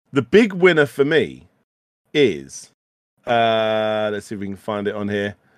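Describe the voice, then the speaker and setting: Speaking with a British accent, a man makes very wide pitch swings. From UK. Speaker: retro gaming podcast host. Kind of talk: casual chat. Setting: live stream studio. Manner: animated, stammering repetitions.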